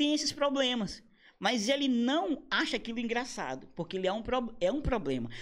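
Lively intonation marks this man's fairly quick speech. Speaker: comedian. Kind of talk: casual chat. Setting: studio. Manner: animated.

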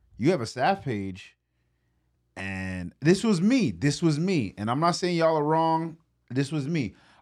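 A man's fairly high voice with an American accent and very wide pitch swings, on a very clean recording with a silent background. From US Northeast, Brooklyn, New York. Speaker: church podcast host. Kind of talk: casual chat.

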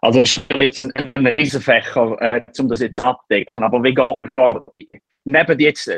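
Moderate-paced speech from a man, dry and close, with no echo. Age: 30s. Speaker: startup founder. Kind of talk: interview. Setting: remote call. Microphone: poor audio quality.

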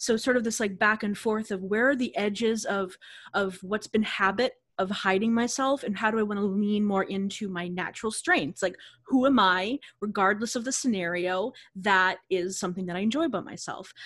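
A woman's medium-pitched, ordinary speaking voice at a moderate pace, with ordinary pitch variation, in a very clean recording against a silent background. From Boston area, Massachusetts. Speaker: yoga teacher, studio founder. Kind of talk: casual interview chat.

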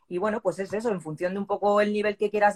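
A woman talks at a very fast pace with medium pitch and a monotone, flat intonation. The sound is dry and close, with no echo. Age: 40s. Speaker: CrossFit athlete and new police officer. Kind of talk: interview.

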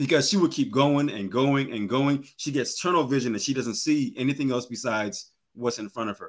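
An unremarkable speaking voice with lively intonation runs on with hardly any pauses in a very clean recording with a silent background. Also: man, fairly high pitch for a man. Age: 30s. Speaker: realtor, life coach and poet. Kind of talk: podcast conversation.

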